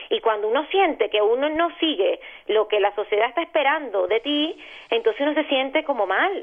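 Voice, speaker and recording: The speaker, in a Venezuelan accent, uses very wide pitch swings at a moderate pace. Loudness stays very even throughout. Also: woman, high pitch for a woman. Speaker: journalist, radio presenter and YouTuber. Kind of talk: interview. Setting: phone call.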